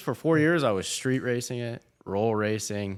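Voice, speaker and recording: Here is a man with a plain, everyday voice, a medium pitch and an American accent. His intonation is lively, and the recording is very clean with a silent background. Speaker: car content creator. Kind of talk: casual chat. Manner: casual, filler-heavy.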